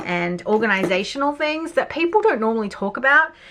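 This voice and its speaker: A woman's voice at a moderate pace, with noticeable background noise. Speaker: journaling YouTuber. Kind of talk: casual supply review.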